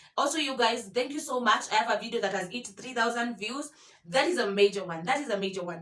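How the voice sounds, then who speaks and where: Over noticeable background noise, a woman talks at a very fast pace in a fairly high voice with lively intonation. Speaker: YouTuber. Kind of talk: vlog tutorial. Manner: halting, many fillers and repetitions.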